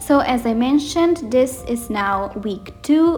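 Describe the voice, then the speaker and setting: A woman speaks with a non-native accent. Noticeable noise sits in the background. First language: not English. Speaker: bullet journal youtuber. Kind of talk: voiceover narration of a plan-with-me video. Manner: rambling, casual.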